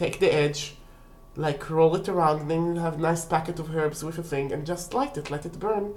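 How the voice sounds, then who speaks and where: Over noticeable background noise and audible room echo, a woman speaks at a moderate pace with a fairly low pitch and ordinary pitch variation. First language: not English. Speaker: witchcraft video creator. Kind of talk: casual tutorial. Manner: halting.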